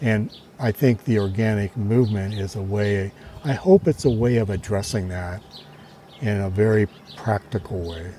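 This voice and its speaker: With a fairly low pitch and ordinary pitch variation, a man talks at a moderate pace while noticeable background noise carries on. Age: 70s. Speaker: organic vegetable farmer. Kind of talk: interview.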